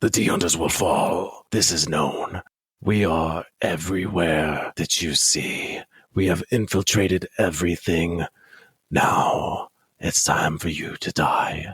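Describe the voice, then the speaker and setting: In a put-on character voice, a man rasps along at a fairly slow pace with a very deep, low pitch. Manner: menacing.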